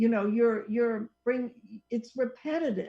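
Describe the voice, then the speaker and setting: A woman with a fairly high pitch and a normal speaking voice. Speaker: psychologist who counsels clients. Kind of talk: casual radio talk show conversation.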